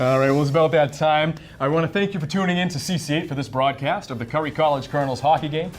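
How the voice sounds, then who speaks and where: Over music in the background, a man with a fairly high pitch races along at a very fast pace with hardly any pauses and fairly even intonation. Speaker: news reporter and anchor. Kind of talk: sports broadcast host.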